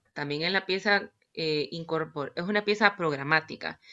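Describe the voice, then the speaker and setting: A woman speaks with a Nicaraguan accent and ordinary pitch variation. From Nicaragua, Managua. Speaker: violinist and composer. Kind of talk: interview. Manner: hesitant, many fillers.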